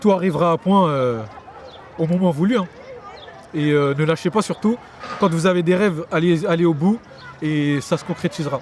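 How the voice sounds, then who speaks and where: Amid noticeable background noise, a man speaks in a high pitch at a moderate pace, leaving long, frequent pauses. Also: ordinary pitch variation. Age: 20s. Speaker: young local resident interviewed. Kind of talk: street interview.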